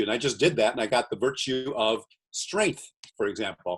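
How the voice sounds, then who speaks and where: A man talks in a normal speaking voice at a medium pitch. His pitch variation is ordinary. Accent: American. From USA. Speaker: entrepreneur. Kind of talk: podcast interview. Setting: video call.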